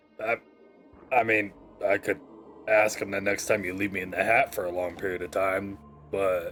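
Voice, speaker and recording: Putting on a raspy character voice with fairly low pitch, a man speaks at a moderate pace with long, frequent pauses while faint music plays in the background. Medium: actual play. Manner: dry, laconic.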